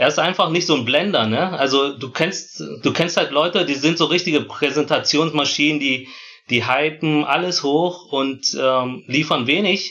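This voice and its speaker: Speaking at a fairly slow pace, a man with an unremarkable speaking voice has fairly high pitch and ordinary pitch variation. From Germany. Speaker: footwear engineer. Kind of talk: casual chat. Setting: remote call.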